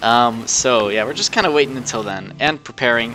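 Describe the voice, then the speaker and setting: A man talks at a fairly quick pace and a medium pitch, with lively intonation. Background noise is noticeable. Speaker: video game streamer. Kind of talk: casual gaming livestream chat. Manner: slurred speech; relaxed, laid-back.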